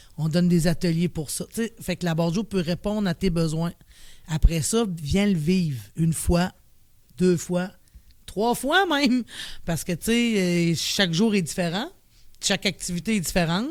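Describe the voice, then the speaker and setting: A woman speaks in a Quebec accent at a fairly low pitch. Her pace is moderate, with ordinary pitch variation. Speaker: director of a mental health organization. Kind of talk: podcast interview. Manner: casual.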